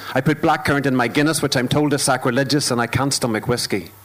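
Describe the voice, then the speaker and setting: With a Northern Irish accent, the speaker keeps a fairly even intonation over noticeable background noise. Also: man. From Northern Ireland. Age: 30s. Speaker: performance poet. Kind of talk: spoken word poetry performance. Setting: stage with audience, live broadcast.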